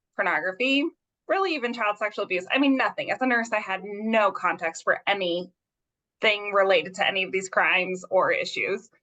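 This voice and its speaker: A woman talks at a fairly quick pace with an American accent, her pitch medium and its variation ordinary. Her tone is bright and sharp. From US Southwest (southern New Mexico). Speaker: forensic pediatric nurse. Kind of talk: interview. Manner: fast.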